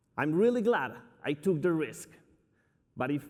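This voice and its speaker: With a Spanish accent, a man speaks at a moderate pace with very wide pitch swings on a very clean recording with a silent background. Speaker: company CEO. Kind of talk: keynote speech. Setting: stage with audience. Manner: energetic.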